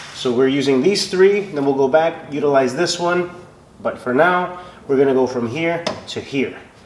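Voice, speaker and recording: A man with a fairly high voice speaks at a moderate pace with ordinary pitch variation. There is noticeable background noise and audible room echo. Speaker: car build video creator. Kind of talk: workshop vlog voiceover.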